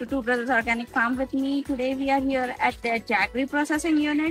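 A woman speaks at a fairly quick pace in a high voice with fairly even intonation, the sound dry with no echo and faint music in the background. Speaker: food blogger on a farm tour. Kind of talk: casual vlog chat. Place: open country.

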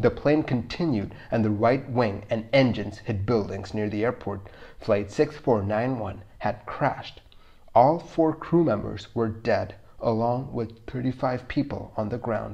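A man with a medium-pitched, somewhat breathy voice and a dark, mellow tone talks at a fairly slow pace. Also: ordinary pitch variation. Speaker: video narrator. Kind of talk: scripted documentary narration of an air disaster. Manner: measured, even, matter-of-fact; clear, explanatory.

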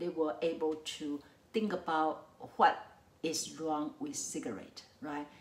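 Speaking at a fairly slow pace with a Mandarin accent, a woman uses a fairly low pitch and ordinary pitch variation, with audible room echo around her. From Taiwan. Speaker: psychology professor; lecturer. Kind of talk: lecture. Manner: hesitant with frequent fillers. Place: home room.

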